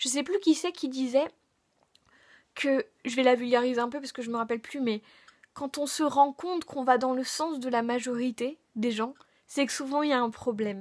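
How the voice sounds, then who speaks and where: High in pitch, a woman talks at a moderate pace with ordinary pitch variation and long, frequent pauses. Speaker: YouTuber. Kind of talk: vlog monologue. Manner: hesitant, casual.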